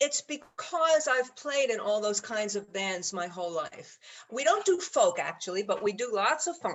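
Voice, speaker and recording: With a New York accent, a woman speaks at a high pitch and a moderate pace. Her pitch swings very widely. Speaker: jazz musician and bandleader. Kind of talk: interview. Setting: video call.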